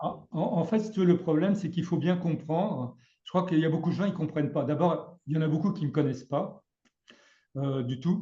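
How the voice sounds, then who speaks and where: Speaking at a fairly quick pace, a man with a high pitch has a dark, mellow tone. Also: ordinary pitch variation. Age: 60s. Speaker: trading educator. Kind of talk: casual chat. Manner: halting.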